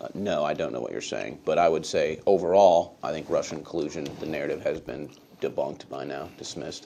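A man talks at a fairly quick pace, his loudness swinging widely. Light background noise sits behind him. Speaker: media host giving deposition. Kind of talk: deposition testimony. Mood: measured, somewhat guarded. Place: meeting room.

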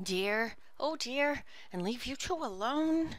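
Over noticeable background noise, a woman uses a high-pitched, put-on character voice at a fairly slow pace. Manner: distressed, crying out.

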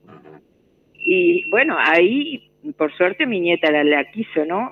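A woman with a fairly low pitch speaks at a fairly slow pace, her pitch swinging very widely. Light background noise can be heard. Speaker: radio listener. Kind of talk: casual chat. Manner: halting. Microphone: phone line.

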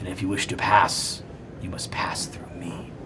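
A put-on character voice whispers at a moderate pace. Loud background noise fills the recording. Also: man. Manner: menacing, tempting.

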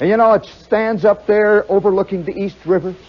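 Here a man speaks at a moderate pace with a high-pitched voice. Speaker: storyteller performer. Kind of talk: comic storytelling monologue. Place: stage. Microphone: old recording.

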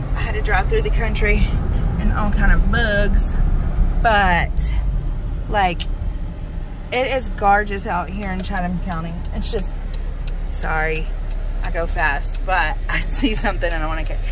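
The speech comes at a fairly slow pace with long, frequent pauses, in a dry sound with no echo and noticeable background noise. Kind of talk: casual vlog chat. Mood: relaxed, cheerful, laughing. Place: car. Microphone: phone near.

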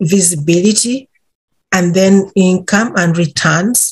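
A woman's somewhat breathy voice at medium pitch, with ordinary pitch variation, against a quiet background. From Uganda. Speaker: intellectual property policy advisor. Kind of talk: podcast interview answer. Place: office. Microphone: webcam.

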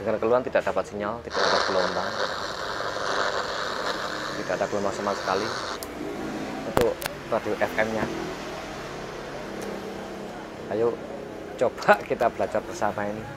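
A man talks at a fairly quick pace. There is loud background noise. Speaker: radio repair technician. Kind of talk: casual tutorial chat. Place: workshop. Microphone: lapel.

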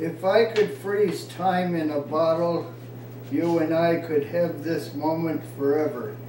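A man speaks very slowly in a fairly high voice with ordinary pitch variation. Light background noise and audible room echo are present. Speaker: poet. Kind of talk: informal poetry reading, unrehearsed, with stumbles and laughter. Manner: halting, stumbling over lines and restarting; self-deprecating, laughs at own mistakes. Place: home room. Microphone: camera far.

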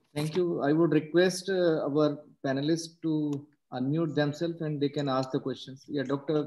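At a moderate pace, a man speaks in a fairly high pitch with a dark, mellow tone and monotone, flat intonation. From India. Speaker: occupational health physician; webinar host, moderator. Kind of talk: webinar moderation. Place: home room. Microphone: video call.

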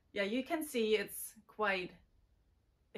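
Against a quiet background, a woman with a German accent speaks at a fairly high pitch. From Germany, Bavaria. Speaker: sculptor and special makeup effects artist. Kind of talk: channel introduction. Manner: giggly, frequent laughter; halting with fillers. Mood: warm, friendly, upbeat. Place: workshop.

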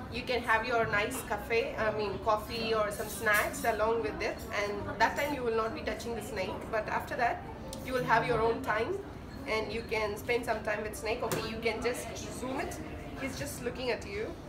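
With noticeable background noise behind her, a woman talks at a moderate pace. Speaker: vlogger. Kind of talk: casual vlog chat. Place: cafe.

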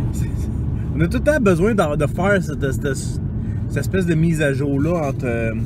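A man talks at a fairly slow pace over loud background noise. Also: dry sound with no echo. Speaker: role-playing game vlogger. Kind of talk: casual vlog chat. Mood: amused storytelling. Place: car. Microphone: phone near.

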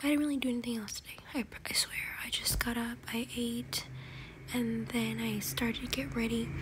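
A soft-spoken woman at a fairly quick pace, over noticeable background noise. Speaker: vlogger. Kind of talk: casual vlog chat. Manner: soft-spoken, quiet ASMR talk. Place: home room. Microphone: phone near.

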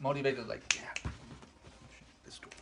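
A man speaks over noticeable background noise. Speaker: husband, game player. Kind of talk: playful game talk, loud guessing. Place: home room. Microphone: camera far.

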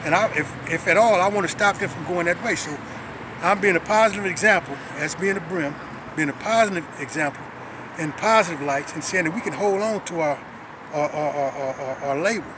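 With an American accent, a man speaks at a fairly quick pace and high pitch, with ordinary pitch variation, in a dry sound with no echo yet noticeable background noise. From South Los Angeles; Los Angeles. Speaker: former prisoner, community activist. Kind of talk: interview testimony. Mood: earnest, reflective. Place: street. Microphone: phone near.

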